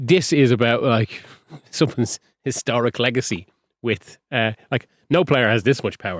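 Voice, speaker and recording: A man with an Irish accent, medium in pitch, at a moderate pace with ordinary pitch variation, in a very clean recording with a silent background and a dry, close sound with no echo. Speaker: football journalist. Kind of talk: casual chat.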